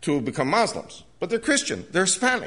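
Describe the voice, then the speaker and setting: A man speaks at a fairly quick pace with vocal fry, a bright, sharp tone and very wide pitch swings. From USA. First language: Spanish. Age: 70s. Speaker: evangelist speaker. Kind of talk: lecture to a church audience.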